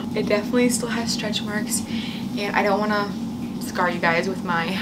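A woman's voice under loud background noise. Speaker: new mother vlogger. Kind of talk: casual vlog chat. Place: home room. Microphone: phone near.

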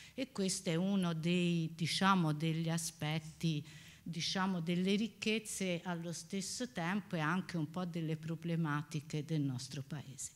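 In a normal speaking voice, a woman talks at a fairly slow pace, her pitch fairly low and her intonation fairly even. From Pisa, Italy; Italy. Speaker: professor. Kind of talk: lecture. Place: hall.

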